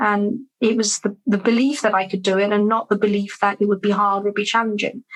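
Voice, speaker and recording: With a British accent, a woman speaks at a fairly quick pace and medium pitch, her intonation monotone and flat and her loudness very even. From London, England. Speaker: business growth coach. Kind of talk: interview answer.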